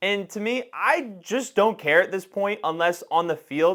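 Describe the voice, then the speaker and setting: An ordinary speaking voice from a man at a moderate pace, with lively intonation. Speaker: NFL podcast co-host. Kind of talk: casual sports debate.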